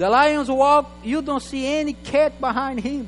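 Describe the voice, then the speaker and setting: A man talks in an animated tone at a fairly slow pace. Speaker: guest preacher. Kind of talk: sermon. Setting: church.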